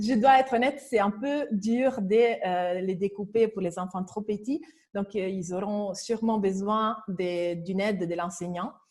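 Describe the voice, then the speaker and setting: A woman speaks at a fairly slow pace with a strong non-native accent. Her pitch is medium, with ordinary variation. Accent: strong foreign accent in French. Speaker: educational robotics presenter. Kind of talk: webinar presentation. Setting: online webinar. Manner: hesitant, many fillers.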